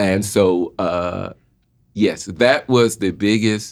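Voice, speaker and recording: A man with a Southern US accent speaks at a very slow pace in a fairly low voice. His intonation is fairly even, and the recording is very clean with a silent background. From Jacksonville, Florida, US South. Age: 60s. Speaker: podcast guest. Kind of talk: casual chat.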